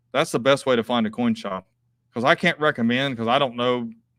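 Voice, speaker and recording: In a very clean recording with a silent background, a man with an Appalachian accent is heard in a dry, close sound with no echo. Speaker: coin dealer. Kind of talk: live stream chat and auction. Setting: live video stream from coin shop.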